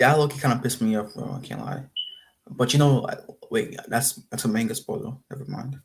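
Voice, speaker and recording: His voice comes across as somewhat breathy. The man speaks fairly quickly. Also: medium pitch for a man, ordinary pitch variation. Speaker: streamer reacting to videos. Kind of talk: casual live stream reaction. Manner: halting, many fillers.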